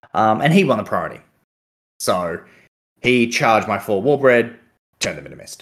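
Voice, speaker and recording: With an Australian accent, a man talks at a moderate pace and medium pitch, his lively intonation and big swings in loudness broken up by long, frequent pauses. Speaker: podcast co-host and tabletop gamer. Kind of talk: casual chat.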